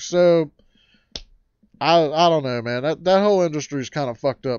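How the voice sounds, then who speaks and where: Very wide pitch swings from a man with a rural American accent, fairly high-pitched, at a moderate pace. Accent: rural American twang. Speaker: livestream host. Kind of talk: casual livestream chat. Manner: animated.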